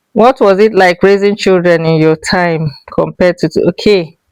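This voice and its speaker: In a normal speaking voice, a woman talks at a medium pitch and moderate pace with ordinary pitch variation, in a dry, close sound with no echo. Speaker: interviewer. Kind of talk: interview questions.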